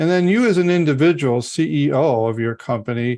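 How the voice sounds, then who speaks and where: In an ordinary speaking voice, a man with fairly high pitch talks at a moderate pace with lively intonation over a quiet background. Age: 60s. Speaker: podcast host, business advisor. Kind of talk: podcast interview.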